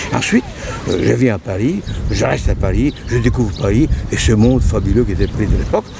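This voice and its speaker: With crowd noise in the background, a man speaks at a medium pitch. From northern Italy, near Venice. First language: Italian (speaking French). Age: 80s+. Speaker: painter. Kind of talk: personal testimony. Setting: outdoors by the sea. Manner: halting.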